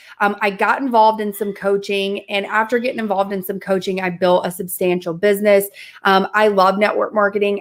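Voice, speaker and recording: An accent from the Southern US comes through. It belongs to a woman. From US South. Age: 20s. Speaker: mindset and manifestation coach. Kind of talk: interview testimony.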